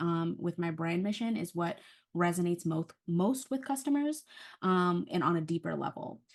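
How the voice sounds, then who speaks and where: A woman's normal speaking voice, fairly low in pitch, at a moderate pace against a quiet background. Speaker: small business owner presenting a workshop. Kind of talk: online workshop presentation. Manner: frequent filler words (um).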